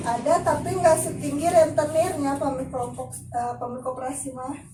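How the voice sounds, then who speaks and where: A woman's high voice at a fairly quick pace, with ordinary pitch variation, big swings in loudness, and noticeable background noise. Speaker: family support program facilitator. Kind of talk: group session facilitation.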